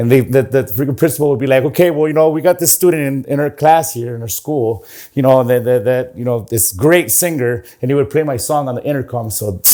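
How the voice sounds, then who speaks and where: With a dark, mellow tone, this man speaks very fast. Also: medium pitch for a man, ordinary pitch variation. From California, Santa Maria. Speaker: singer and musician. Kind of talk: interview. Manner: casual, filler-heavy.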